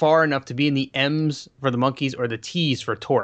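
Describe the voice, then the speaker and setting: Over a quiet background, a man with an American accent and an ordinary speaking voice talks fairly quickly in a fairly high pitch. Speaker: podcast commentator. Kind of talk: casual chat.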